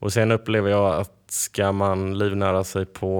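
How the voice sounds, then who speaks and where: His pitch sits fairly low. This man talks in a flat, monotone way. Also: very clean recording, silent background. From western Sweden, Varberg. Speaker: odds setter. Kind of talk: interview.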